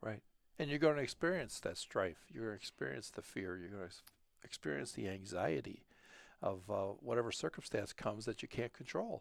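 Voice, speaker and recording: A man's fairly low voice moves through very wide pitch swings. He talks at a fairly quick pace. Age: 60s. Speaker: heart surgery patient sharing faith. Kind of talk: personal testimony. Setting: studio. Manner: halting.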